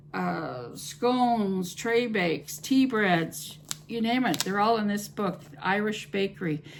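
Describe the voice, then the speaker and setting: Very slow speech over noticeable background noise. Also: woman, medium pitch for a woman. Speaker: home cooking YouTuber. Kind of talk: casual vlog talk to camera. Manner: hesitant, many fillers.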